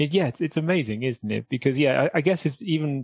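Dry and close with no echo, a man with a Welsh accent races along at a very fast pace with lively intonation. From South Wales. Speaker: comedian. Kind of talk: casual chat.

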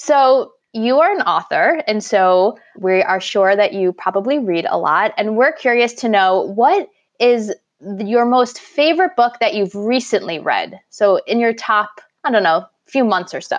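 A plain, everyday voice: a woman with an American accent, fairly high pitch, lively intonation and a fairly slow pace. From New York. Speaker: podcast co-host and life coach. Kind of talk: casual interview chat.

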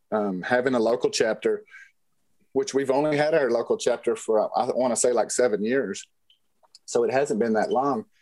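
The speaker uses a Texan accent at a moderate pace. Loudness stays very even throughout. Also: man. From West Texas. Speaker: rancher and safari hunter. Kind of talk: interview storytelling.

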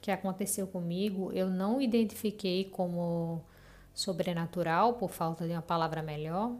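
A woman speaks at medium pitch with fairly even intonation. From Recife, Brazil. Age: 30s. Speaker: listener sharing a paranormal story. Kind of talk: personal storytelling.

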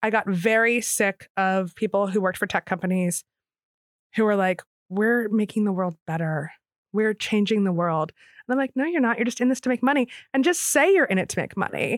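A woman with a plain, everyday voice and an American accent talks at a fairly quick pace and medium pitch, her intonation lively and her loudness very even, in a very clean, dry, close recording with no echo and a silent background. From Philadelphia area. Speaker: novelist and journalist. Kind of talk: interview.

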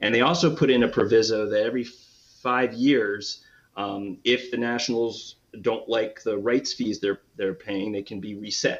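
A man with an American accent and a normal speaking voice talks at a moderate pace, his pitch medium and intonation fairly even. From US, Washington DC. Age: 50s. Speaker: baseball fan, former stadium grounds crew. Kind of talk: casual interview chat.

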